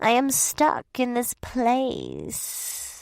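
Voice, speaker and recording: A woman's high, hissing put-on character voice. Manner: hissed through the teeth.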